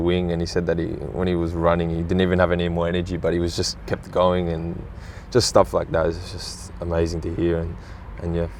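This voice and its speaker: A man with an Australian accent speaks at a fairly quick pace, his pitch very deep and low and his intonation monotone and flat. Noticeable background noise is present. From Australia, Sydney. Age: 20s. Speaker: professional footballer. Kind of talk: interview. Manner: halting, many fillers.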